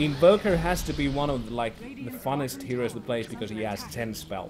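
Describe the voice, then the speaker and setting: A man's medium-pitched voice, fairly quick and with lively intonation, over music in the background. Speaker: Dota 2 shoutcaster / streamer. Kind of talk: explaining hero picks and strategy. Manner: casual, hesitant, thinking aloud.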